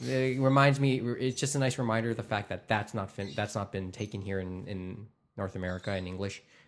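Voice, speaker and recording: A man with a Canadian accent speaks at a moderate pace. He has an unremarkable speaking voice and lively intonation. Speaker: podcast host. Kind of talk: casual chat. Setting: studio.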